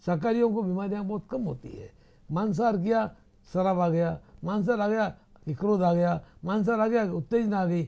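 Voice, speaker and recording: A man's high-pitched, dark, mellow voice at a moderate pace, with ordinary pitch variation, over a quiet background. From Rajasthan, India. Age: 80s+. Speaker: interview guest. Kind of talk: interview. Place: studio.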